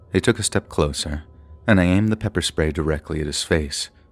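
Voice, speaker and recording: Music plays in the background as a man speaks at a moderate pace. His pitch is very deep and low, with ordinary variation. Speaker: horror story narrator. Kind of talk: scary story narration.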